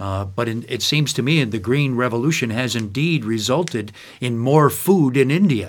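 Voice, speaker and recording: In a very clean recording with a silent background, a man with an American accent uses an ordinary speaking voice at medium pitch, speaking at a moderate pace with lively intonation. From upstate New York, US. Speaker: podcast host. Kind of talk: scripted intro; interview conversation.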